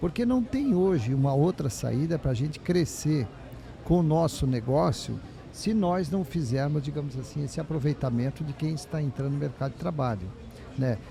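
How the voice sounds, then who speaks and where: A man with a fairly high pitch speaks at a moderate pace, his dark, mellow tone somewhat breathy and his intonation lively. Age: 60s. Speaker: business owner. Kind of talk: panel discussion.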